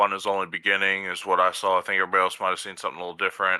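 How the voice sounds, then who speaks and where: A man races along at a very fast pace in a raspy, very deep put-on character voice. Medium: actual play. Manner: careful, hedging.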